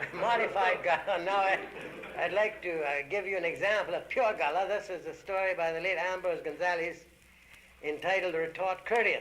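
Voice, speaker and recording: A man speaks in a high pitch with fairly even intonation. Background noise is noticeable. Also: moderate pace. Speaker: storyteller. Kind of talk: dialect storytelling recording.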